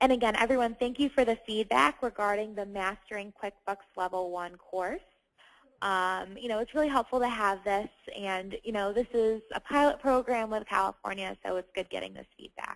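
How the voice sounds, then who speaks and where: A normal speaking voice comes at a moderate pace with ordinary pitch variation. The background is quiet, and the sound is dry and close with no echo. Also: woman, fairly high pitch for a woman. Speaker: online course trainer. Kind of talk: Q&A webinar session. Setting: webinar. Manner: many filler sounds.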